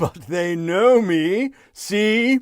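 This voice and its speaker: A man performs a put-on character voice pitched high. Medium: read story.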